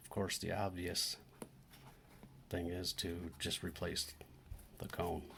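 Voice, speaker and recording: Soft-spoken yet bright and sharp in tone, a man with a very deep, low pitch speaks in a monotone, flat intonation at a very slow pace with long, frequent pauses. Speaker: DIY electronics repair youtuber. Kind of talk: tutorial.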